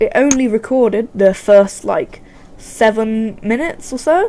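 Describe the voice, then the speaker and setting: A woman with a British accent speaks at a fairly slow pace and a fairly high pitch over noticeable background noise. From UK. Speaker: gaming YouTuber. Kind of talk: let's play commentary. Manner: halting, many restarts.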